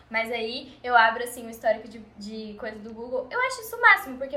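A raised, projected voice with lively intonation at a moderate pace. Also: woman. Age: 20s. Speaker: podcast guest, friend of host. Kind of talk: casual chat.

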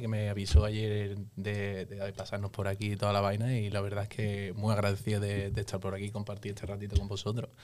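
Over noticeable background noise, a man talks at a fairly quick pace and a fairly low pitch. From Seville, Spain. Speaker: musician. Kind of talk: casual chat.

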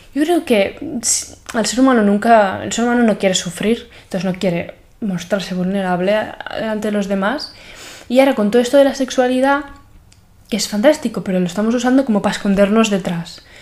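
A woman's fairly quick speech in a normal speaking voice, with ordinary pitch variation. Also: fairly high pitch for a woman. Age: 20s. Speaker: podcaster. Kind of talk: personal monologue.

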